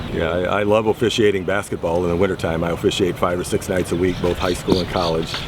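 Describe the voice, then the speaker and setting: Amid noticeable background noise, a man with an American accent and a very deep, low pitch speaks at a very fast pace with hardly any pauses in a monotone, flat delivery. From Southern Illinois, USA. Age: 60s. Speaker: batting-practice pitcher. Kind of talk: interview answer.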